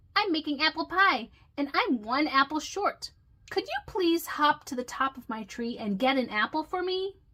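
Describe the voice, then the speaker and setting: A put-on character voice from a woman, high-pitched, at a moderate pace. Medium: read story.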